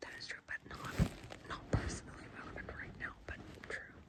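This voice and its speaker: Whispering from a woman at a moderate pace, with noticeable background noise. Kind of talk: asmr reading. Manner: soft-spoken, casual.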